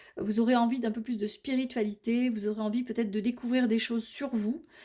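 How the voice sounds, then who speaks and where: A woman's fairly high-pitched voice, dark and mellow in tone, at a fairly quick pace. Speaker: tarot and oracle card reader. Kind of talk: oracle card reading for viewers. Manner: halting, many hesitations and repeats.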